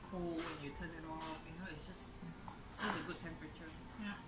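A woman with ordinary pitch variation and music in the background. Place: bar. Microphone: camera far.

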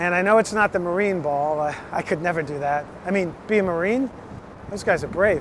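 A man's high voice at a fairly quick pace with ordinary pitch variation, dry sound with no echo, and noticeable background noise. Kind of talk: casual direct-to-camera video invitation. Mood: eager, slightly nervous. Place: street. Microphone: phone near.

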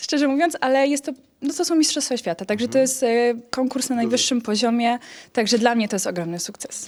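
Talking at a very fast pace, this woman has a high pitch and lively intonation. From Poland, Rzeszów. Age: 20s. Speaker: beauty pageant contestant. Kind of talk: interview; appeal to voters.

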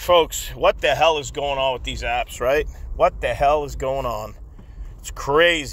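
A man takes his time, talking fairly slowly amid clear background noise. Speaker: food delivery driver and YouTuber. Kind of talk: casual vlog monologue. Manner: halting, many repeated words and fillers.

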